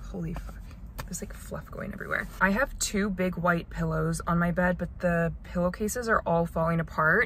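A woman talks at a fairly quick pace. The sound is dry with no echo and has light background noise. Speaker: lifestyle vlogger. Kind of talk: casual vlog chat. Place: car. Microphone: phone near.

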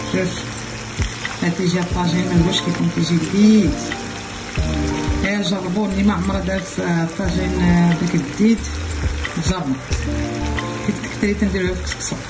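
A woman at a moderate pace with long, frequent pauses, clear music playing in the background. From Morocco, Taroudant. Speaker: home cook. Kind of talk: casual cooking tutorial talk. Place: kitchen. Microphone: phone near.

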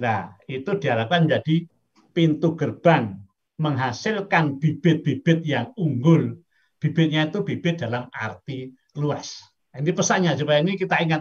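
Against a quiet background, a man with a plain, everyday voice and fairly high pitch speaks at a moderate pace with lively intonation. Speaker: professor. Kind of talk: lecture. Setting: video call. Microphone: video call.

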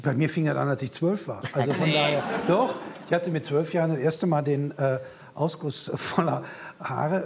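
A man is speaking. Light background noise is present. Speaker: comedian; talk show guest. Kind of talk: casual talk show chat. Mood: humorous, anecdotal. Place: studio. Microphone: lapel.

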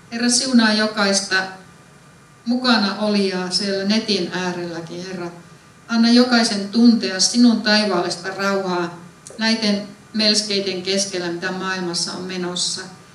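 A woman talks at a fairly slow pace with fairly even intonation, and the room echo is audible. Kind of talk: spoken prayer. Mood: calm, reverent. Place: church.

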